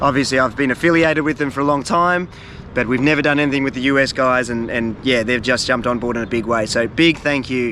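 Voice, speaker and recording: With an Australian accent, a man talks at a very fast pace with ordinary pitch variation. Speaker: fishing and travel video creator. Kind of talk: casual vlog talk to camera. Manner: halting, many fillers.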